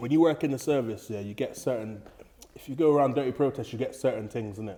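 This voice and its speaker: A man with a London accent talks at a very fast pace in a medium-pitched, dark and mellow voice, his loudness swinging widely while his pitch varies in an ordinary way. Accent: London multicultural English. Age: 30s. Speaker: former prison officer. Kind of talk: casual podcast interview.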